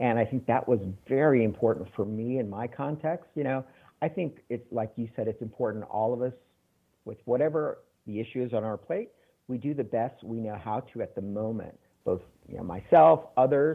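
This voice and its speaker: A man with an American accent and a normal speaking voice, medium in pitch, at a moderate pace with ordinary pitch variation. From Texas, San Antonio. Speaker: holistic practitioner, former college professor. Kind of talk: interview.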